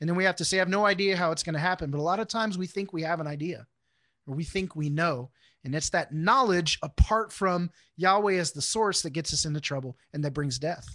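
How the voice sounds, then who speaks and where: Against a quiet background, a man talks very fast at high pitch, his tone bright and sharp, with ordinary pitch variation and a dry, close sound with no echo. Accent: American. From Houston, Texas. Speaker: Bible class teacher. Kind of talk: teaching.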